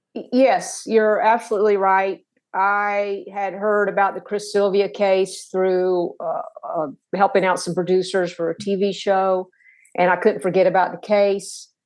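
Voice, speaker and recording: The speaker has a Tennessee accent and talks at a fairly slow pace. The intonation stays flat and monotone over a quiet background. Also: woman, medium pitch for a woman. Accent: Southern US (Tennessee). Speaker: author. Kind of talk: interview. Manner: halting.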